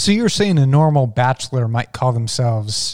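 Recorded with a dry, close sound and no echo, a man speaks in a normal speaking voice at medium pitch and moderate pace, with lively intonation. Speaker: guest, returning reviewer. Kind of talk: casual chat.

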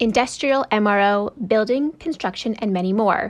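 A woman with an unremarkable speaking voice talks against a quiet background. Her fairly high pitch moves with lively intonation. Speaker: podcast announcer. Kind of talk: scripted narration.

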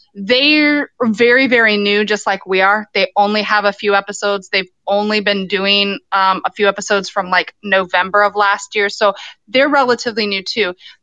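A woman uses a normal speaking voice at a medium pitch and moderate pace. Her intonation is fairly even and her loudness very even. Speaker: podcaster calling in. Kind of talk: casual chat. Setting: phone call.

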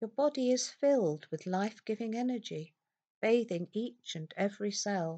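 A woman speaks in a calm, gentle tone that is also dark and mellow, with lively intonation. The sound is dry and close with no echo. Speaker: hypnotherapist guiding self-hypnosis. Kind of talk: guided self-hypnosis script with soothing suggestions. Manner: slow, soft, gentle and soothing; calm, unhurried, with long pauses.

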